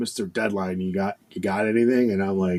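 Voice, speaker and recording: A man speaks with an American accent in a dry, close sound with no echo. The recording is very clean, with a silent background. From Buffalo, New York. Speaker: fire captain. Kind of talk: casual chat. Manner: repetitive, animated.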